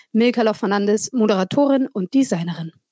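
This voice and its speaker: With a non-native accent and very wide pitch swings, a woman speaks at a moderate pace in a dry, close sound with no echo. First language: not German (speaking German). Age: 40. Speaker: podcast host. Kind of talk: casual chat.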